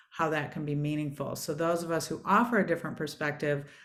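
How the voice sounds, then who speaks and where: With a Michigan accent, a woman speaks at a very deep, low pitch. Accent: Michigan twang. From US Midwest, Michigan. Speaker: former space agency executive and author. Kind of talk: online panel conversation.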